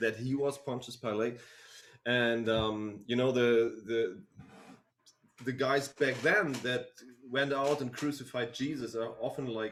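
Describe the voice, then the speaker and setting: A man with a German accent speaks at a fairly slow pace and a medium pitch. His intonation stays fairly even, broken by long, frequent pauses. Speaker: band member. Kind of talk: live stream Q&A. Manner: halting.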